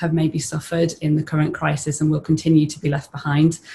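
A woman speaks with a very deep, low pitch and a monotone, flat intonation. Her voice is somewhat breathy over light background noise. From northern England (Teesside); northern England. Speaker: lawyer, business partnership representative; lawyer. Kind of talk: webinar panel discussion. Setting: online webinar. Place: home room. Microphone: video call.

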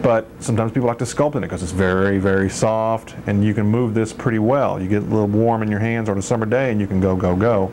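With a fairly low pitch and fairly even intonation, a man races along at a very fast pace with hardly any pauses over light background noise. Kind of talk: tutorial. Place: garage. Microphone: old recording.

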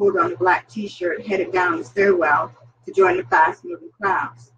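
The pace is moderate. A woman's pitch swings very widely as she talks. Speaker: vlogger and self-published author. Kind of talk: casual cooking livestream with reading aloud. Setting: home kitchen on camera. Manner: chatty.

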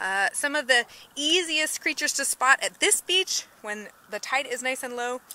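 A woman speaks in a raised, projected voice at a fairly slow pace. The sound is dry, with no echo. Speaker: nature educator. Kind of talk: live educational walkthrough. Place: beach. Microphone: phone near.

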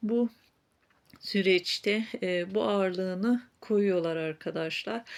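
Very slow speech comes from a woman whose voice is medium in pitch. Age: 40s. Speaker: fortune teller / psychic YouTuber. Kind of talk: fortune-telling reading to viewers.

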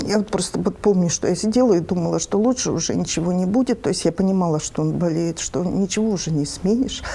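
A woman speaks at a very fast pace with hardly any pauses. Her pitch is medium. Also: ordinary pitch variation. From Siberia, Russia. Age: 50s. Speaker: businesswoman and museum owner; TV interviewee. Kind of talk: interview. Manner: halting. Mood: reflective, sad memory. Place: home room.

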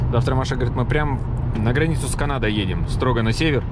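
A man talks fairly quickly amid loud background noise, and the sound is dry, without any echo. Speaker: travel vlogger. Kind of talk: casual vlog chat. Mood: upbeat. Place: car. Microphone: phone near.

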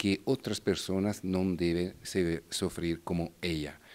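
A man speaks in an Italian accent at a very slow pace. His pitch is very deep and low. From Italy, Bergamo; Italy. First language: Italian (speaking Spanish). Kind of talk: interview. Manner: halting. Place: hall. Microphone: handheld.

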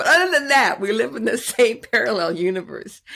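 Over a quiet background, a woman speaks with very wide pitch swings. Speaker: podcast host. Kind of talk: podcast intro monologue. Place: home room.

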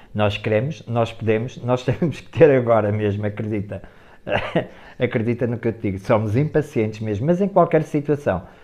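With a European Portuguese accent, a man at medium pitch speaks at a moderate pace, with a dark, mellow tone, ordinary pitch variation and big swings in loudness against a quiet background. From Portugal. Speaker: guest. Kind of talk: casual interview. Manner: laughing. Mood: lively, laughing at times. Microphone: earbuds.

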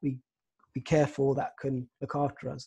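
Against a quiet background, a man talks with a fairly high pitch and fairly even intonation. His tone is dark and mellow, and somewhat breathy. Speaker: psychotherapist. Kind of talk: guided meditation. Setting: video call. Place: home room. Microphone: video call.

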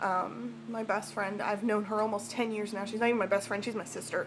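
A woman speaks at a moderate pace with vocal fry over noticeable background noise. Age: 20s. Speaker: vlogger. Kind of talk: personal vlog. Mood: emotional, personal confession. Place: home room. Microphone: webcam.

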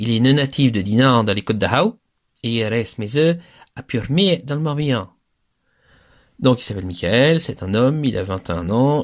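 A man in a normal speaking voice talks at a moderate pace with lively intonation on a very clean recording with a silent background. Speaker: Gallo language teacher. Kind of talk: lecture. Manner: didactic, clear, explanatory.

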